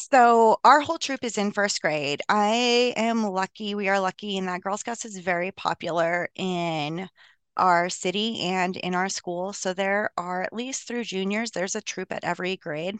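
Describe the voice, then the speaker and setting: A woman's ordinary speaking voice with an American accent, medium pitch with ordinary pitch variation, a moderate pace with hardly any pauses, and a quiet background. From US, Colorado. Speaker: physician and troop leader. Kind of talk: casual interview.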